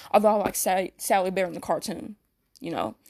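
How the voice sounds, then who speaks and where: Speaking at a fairly quick pace, a woman of medium pitch shows vocal fry and ordinary pitch variation. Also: dry, close sound with no echo. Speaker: YouTuber. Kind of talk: fan commentary rant. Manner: fast; halting.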